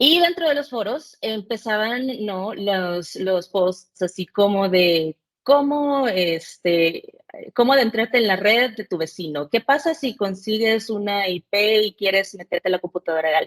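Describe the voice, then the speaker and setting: Recorded with a dry, close sound and no echo, a woman speaks at a medium pitch. Her pace is fairly slow and her intonation lively. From El Salvador, Central America (born in Mexico). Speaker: cybersecurity specialist, penetration tester. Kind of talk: podcast interview. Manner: hesitant, with many fillers.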